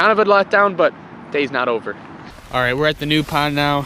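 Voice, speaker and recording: A man's very fast speech with ordinary pitch variation over noticeable background noise. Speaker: fishing YouTuber. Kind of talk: outdoor vlog commentary. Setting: outdoors on a frozen pond. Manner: excited, animated.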